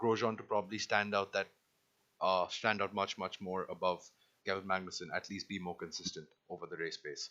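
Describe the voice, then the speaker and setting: Talking at a fairly quick pace, a man with a fairly low pitch uses a bright, sharp tone and monotone, flat intonation. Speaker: Formula One podcast co-host. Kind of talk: casual sports discussion.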